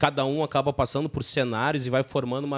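A man with a plain, everyday voice, medium in pitch, fairly quick, with fairly even intonation, in a dry, close sound with no echo on a very clean recording with a silent background. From southern Brazil. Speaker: podcast host, company CEO. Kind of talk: casual business interview.

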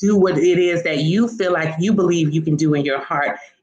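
A woman with an American accent and a plain, everyday voice, fairly low-pitched, lively intonation, moderate pace. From rural South Florida (Pahokee, the Glades). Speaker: marketing firm CEO and elected county official. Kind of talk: interview.

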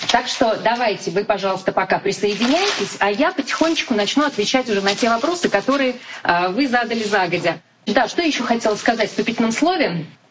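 Over noticeable background noise, the speech races at a very fast pace with lively intonation and very even loudness. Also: woman, fairly high pitch for a woman. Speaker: TV news anchor and correspondent. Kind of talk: live-stream talk. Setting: Instagram live broadcast. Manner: informal.

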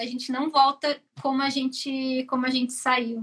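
Using a raised, projected voice, a woman speaks at a high pitch and a fairly slow pace with a bright, sharp tone. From southern Brazil, Joinville, Santa Catarina. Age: 30s. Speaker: mechanical engineer. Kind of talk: interview on a live stream.

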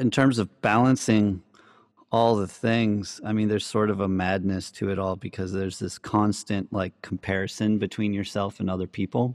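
A man with a normal speaking voice talks at a moderate pace and fairly low pitch, his intonation fairly even, in a very clean recording with a silent background and a dry, close sound with no echo. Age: 30s. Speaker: electronic music producer and DJ. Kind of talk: casual chat.

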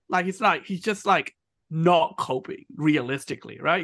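Against a quiet background, the voice has a bright, sharp tone and lively intonation at a fairly slow pace. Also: man. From Myanmar. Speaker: podcast host. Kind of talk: casual chat.

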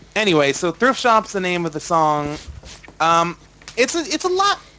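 Over noticeable background noise, a man with an American accent speaks in a high voice. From United States. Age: 20s. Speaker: podcast host. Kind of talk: casual chat. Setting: video call.

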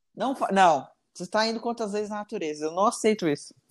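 On a very clean recording with a silent background, a high-voiced man speaks very fast with lively intonation. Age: 20s. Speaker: teacher. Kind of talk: casual chat.

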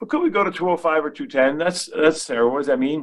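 A man with a plain, everyday voice talks at a fairly quick pace with lively intonation, in a very clean recording with a silent background. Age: 50s. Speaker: asset management CEO and market strategist. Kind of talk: casual chat.

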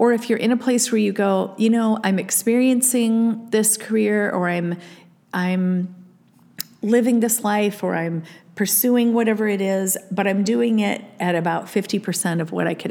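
In an American accent, a woman speaks at a moderate pace and medium pitch, using a normal speaking voice with ordinary pitch variation. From Iowa, US Midwest. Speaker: podcast host. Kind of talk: solo podcast monologue.

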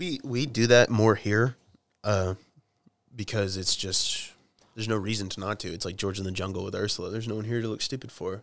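This man talks at a fairly quick pace in an Oklahoma accent. His pitch is fairly low, and his intonation stays fairly even. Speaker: rock guitarist. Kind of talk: casual chat. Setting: garage. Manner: halting.

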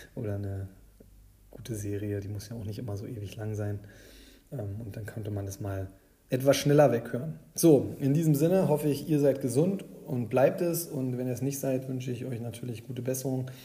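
A man speaks at a medium pitch with a dark, mellow tone that is somewhat breathy. His moderate pace carries audible room echo. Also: ordinary pitch variation. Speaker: fantasy football podcast host. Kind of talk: casual solo podcast commentary. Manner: hesitant, many filler sounds.

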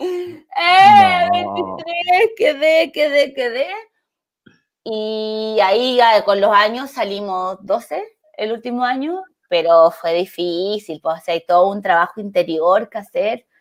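A woman speaks very slowly with a fairly high pitch. Her pitch swings very widely. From Chile, El Salvador mining town (Atacama). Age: 30s. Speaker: actress and comedian. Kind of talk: casual chat.

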